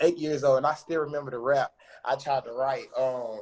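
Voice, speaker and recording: Fairly quick, somewhat breathy speech. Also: man. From US South, western North Carolina (Forest City). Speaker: recording artist. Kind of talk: casual interview. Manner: animated, relaxed.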